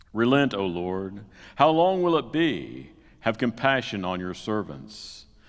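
A man's normal speaking voice, fairly low and fairly slow, over a quiet background. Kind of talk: scripture reading. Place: church. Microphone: headset.

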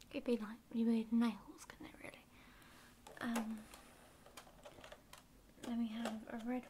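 A soft-spoken woman talks at a very slow pace. Noticeable background noise sits behind her. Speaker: stationery haul vlogger. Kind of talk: casual vlog chat. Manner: soft, hushed ASMR shopkeeper voice. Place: home room. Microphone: phone near.

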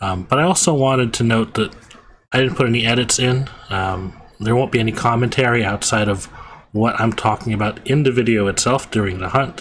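A man at a medium pitch with a fairly bright tone, ordinary pitch variation and a fairly quick pace.

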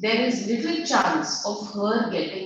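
The intonation is fairly even. It is plain reading aloud.

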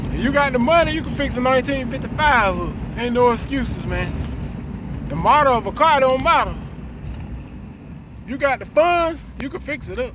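A man talks with long, frequent pauses. The sound is dry with no echo, and there is noticeable background noise. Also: ordinary pitch variation, moderate pace. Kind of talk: casual vlog chat. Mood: relaxed, proud of car. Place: car. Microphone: phone near.

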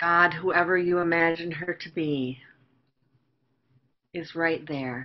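Speaking very slowly in a fairly low pitch, a woman keeps a calm tone and fairly even intonation. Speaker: minister; meditation guide. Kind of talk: guided meditation. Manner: slow, calm. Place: home room. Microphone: webcam.

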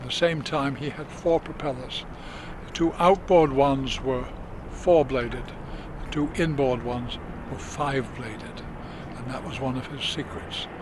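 A man's fairly even, moderately paced speech broken by long, frequent pauses, dry with no echo, over noticeable background noise. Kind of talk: interview answer. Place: boat.

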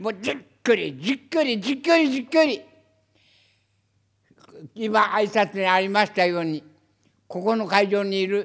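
A man with a high pitch at a moderate pace. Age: 80s+. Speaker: former journalist. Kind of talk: press conference statement. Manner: forceful, impassioned.

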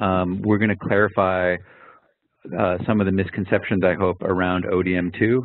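The speaker uses a monotone, flat intonation at a moderate pace. The background is quiet and the sound is dry with no echo. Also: man. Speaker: research data project lead facilitating a meeting. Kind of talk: online project meeting. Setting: video call. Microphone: video call.

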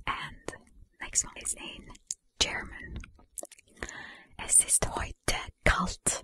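Whispering, a woman gets her words out at a very slow pace. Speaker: ASMR creator. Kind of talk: ASMR soft-spoken language questions to camera. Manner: soft whisper. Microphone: studio mic.

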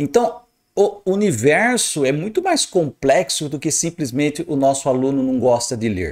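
A man with a fairly high pitch speaks with very wide pitch swings. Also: fairly slow pace, quiet background. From Brazil. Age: 50s. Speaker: astrologer; astrologer commentator. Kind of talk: video commentary monologue. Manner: animated, emphatic. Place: home room. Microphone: studio mic.

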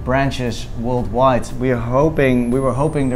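Faint music sits in the background as a man speaks at a moderate pace. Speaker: travel food vlogger. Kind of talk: casual vlog chat. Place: cafe. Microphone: lapel.

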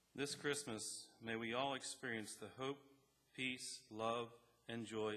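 A man's fairly low voice in a bright, sharp tone, at a fairly slow pace. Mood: solemn, calm. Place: church. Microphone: podium.

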